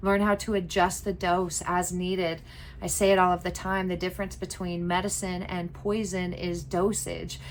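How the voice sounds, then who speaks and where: Audible room echo surrounds a woman who speaks at medium pitch in a monotone, flat way. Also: moderate pace. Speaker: herbalism teacher. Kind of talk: lecture.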